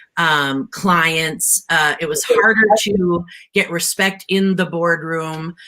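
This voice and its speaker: At a very slow pace, a woman speaks loudly in a bright, sharp tone. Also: fairly low pitch for a woman. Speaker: tech entrepreneur. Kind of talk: panel discussion. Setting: live-streamed panel. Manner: energetic, emphatic.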